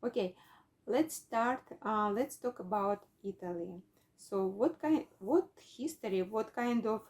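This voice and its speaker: With a Russian accent, a woman speaks at a fairly slow pace, her pitch fairly high and her intonation lively. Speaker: English learner. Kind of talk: casual lesson chat. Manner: halting.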